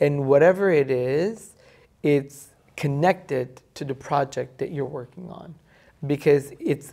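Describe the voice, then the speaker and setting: A woman speaks with a very deep, low pitch and a dark, mellow tone, at a fairly slow pace. Her pitch varies in an ordinary way against a quiet background. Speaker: podcast co-host. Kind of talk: casual chat. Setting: hotel suite in Dubai. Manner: animated. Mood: playful, animated. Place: home room.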